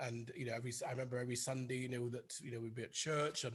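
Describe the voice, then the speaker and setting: The speaker has a British RP accent. The voice is somewhat breathy. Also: man. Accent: British RP-leaning English. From northern England, Oldham near Manchester. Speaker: conductor and organist. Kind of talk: interview. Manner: halting, many fillers and repeats.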